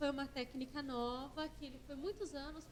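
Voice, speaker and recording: A soft-spoken woman talks at a high pitch. Room echo is audible. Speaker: acupuncturist and therapist lecturer. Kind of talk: conference lecture. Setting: conference stage with audience.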